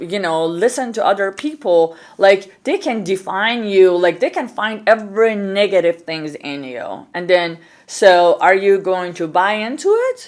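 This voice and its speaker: In an Iranian accent, a woman speaks at a moderate pace and medium pitch with lively intonation and big swings in loudness. The recording is very clean, with a silent background. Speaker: podcast host and entrepreneur. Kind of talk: interview conversation. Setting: on a couch in a studio.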